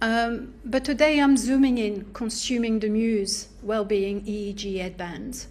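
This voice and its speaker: Audible room echo accompanies a woman speaking at a fairly slow pace with a medium pitch. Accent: French. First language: French. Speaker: academic researcher and artist. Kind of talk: academic seminar talk. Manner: halting, many fillers.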